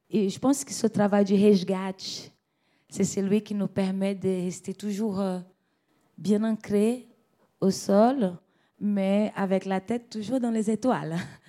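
A woman with a northeastern Brazilian accent speaks at a medium pitch and a fairly slow pace, with long, frequent pauses. Her tone is dark and mellow, and the recording is very clean with a silent background. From Brazil, Rio de Janeiro. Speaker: singer. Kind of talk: interview. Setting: at home.

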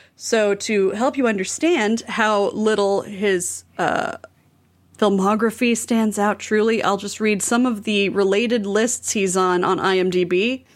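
In a very clean recording with a silent background, a woman with a normal speaking voice talks at a fairly slow pace and a fairly high pitch. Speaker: returning podcast guest. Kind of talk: casual comedic chat.

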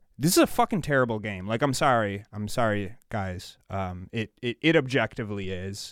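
A man with an ordinary speaking voice, fairly low in pitch with ordinary variation, talks at a moderate pace with hardly any pauses, on a very clean recording with a silent background and a dry, close sound with no echo. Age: 30s. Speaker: podcast co-host. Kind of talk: casual chat.

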